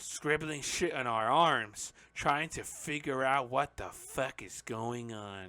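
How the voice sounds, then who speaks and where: A man puts on a strained character voice at medium pitch with ordinary pitch variation. He goes at a fairly slow pace over a very clean recording with a silent background. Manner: put-on character voice.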